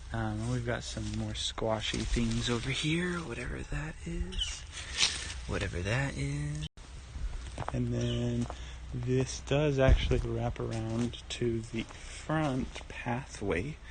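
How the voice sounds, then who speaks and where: Amid noticeable background noise and audible room echo, a man talks at a very slow pace. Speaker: home gardener. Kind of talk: casual garden tour. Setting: outdoors in garden. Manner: casual, rambling with fillers; quiet, soft-spoken.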